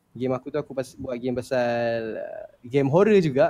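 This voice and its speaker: With an unremarkable speaking voice, a man talks at medium pitch and a moderate pace with ordinary pitch variation, the audio dry and close with no echo. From Shah Alam, Selangor, Malaysia. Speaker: gamer. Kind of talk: casual chat.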